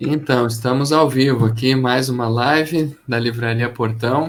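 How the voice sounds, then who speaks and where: A man at medium pitch, speaking at a fairly slow pace. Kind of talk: live stream book chat host.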